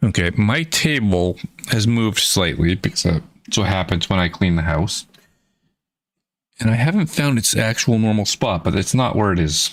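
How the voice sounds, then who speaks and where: With an American accent, a man speaks in a plain, everyday voice, fairly low in pitch, at a moderate pace. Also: lively intonation, very even loudness. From Florida. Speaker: indie game developer streamer. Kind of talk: live stream casual chat.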